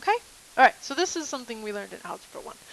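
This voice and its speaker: This woman's high-pitched voice comes through with a dry, close sound and no echo. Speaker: math teacher. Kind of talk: lecture. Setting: recorded video lesson.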